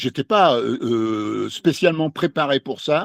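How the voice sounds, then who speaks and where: A man speaks very slowly at a medium pitch. The sound is dry and close, with no echo. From France, Lyon. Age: 60s. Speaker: novelist. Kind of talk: interview. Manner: halting, many hesitations.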